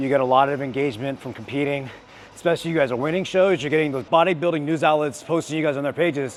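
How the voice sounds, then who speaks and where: A man's voice comes through, pitched fairly high. Noticeable background noise sits behind it. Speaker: bodybuilder and fitness influencer. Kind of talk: vlog advice talk while training. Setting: gym while training. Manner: excitable, tends to yell into the mic; stutters at times.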